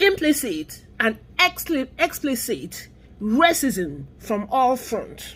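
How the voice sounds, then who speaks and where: Speaking very slowly in an American accent, a woman uses a high pitch with very wide pitch swings. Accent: Nigerian accent, noticeable to US listeners. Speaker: vlogger on immigrant and race issues. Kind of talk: opinion vlog monologue. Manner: animated.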